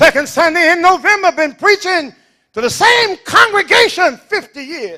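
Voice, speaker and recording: A raised, projected voice with a bright, sharp tone, lively intonation and an animated delivery at a moderate pace. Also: man, extremely high pitch for a man. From US South. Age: 70s. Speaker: pastor. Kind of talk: sermon.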